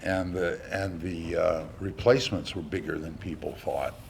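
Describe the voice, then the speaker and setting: A man speaks at a very deep, low pitch and a fairly slow pace, with ordinary pitch variation. Audible room echo surrounds his voice. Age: 70s. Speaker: lecturer. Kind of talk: lecture. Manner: halting, many fillers; animated.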